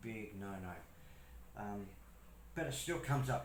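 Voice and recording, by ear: There is audible room echo as a man speaks with a fairly low pitch and a fairly bright tone.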